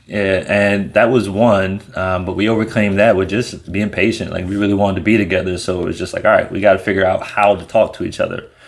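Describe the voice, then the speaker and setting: A man with an American accent talks at a very fast pace with hardly any pauses, his fairly low voice flat and monotone over noticeable background noise. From United States. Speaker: co-host of a couple's channel. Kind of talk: casual chat.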